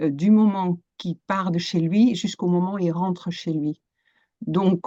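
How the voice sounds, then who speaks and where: The voice has a dark, mellow tone and a Dutch accent. It moves at a fairly slow pace with fairly even intonation. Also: woman, fairly low pitch for a woman. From Netherlands. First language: Dutch (speaking French). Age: 50s. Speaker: coach and psychotherapist. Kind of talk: interview. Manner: hesitant, many fillers.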